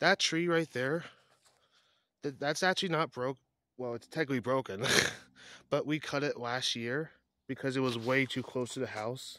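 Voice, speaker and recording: On a very clean recording with a silent background, a man with a bright, sharp tone talks at a moderate pace, with ordinary pitch variation and long, frequent pauses. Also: medium pitch for a man. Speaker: vlogger. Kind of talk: casual vlog walkthrough. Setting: outdoors.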